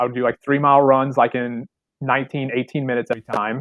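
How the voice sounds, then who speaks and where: Speech comes at a very fast pace with an American accent. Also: man. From southern Illinois. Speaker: obstacle course racer. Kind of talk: casual chat. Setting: office, remote call.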